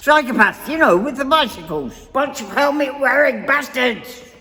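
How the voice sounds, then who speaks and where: High pitch and moderate pace in a put-on character voice. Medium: audio drama. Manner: blunt, gruff.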